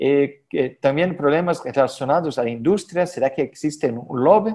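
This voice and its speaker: With a Portuguese accent, a man speaks at a moderate pace and a fairly high pitch. His tone is dark and mellow, and his pitch variation is ordinary. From Brazil. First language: Portuguese (speaking Spanish). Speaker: head and neck surgeon, professor. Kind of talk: conference lecture. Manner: halting with many fillers.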